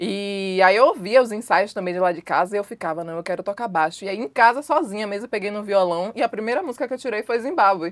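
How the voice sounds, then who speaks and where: Talking at a very fast pace with hardly any pauses, a woman keeps a medium pitch with ordinary pitch variation and big swings in loudness. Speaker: musician and singer. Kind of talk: interview conversation.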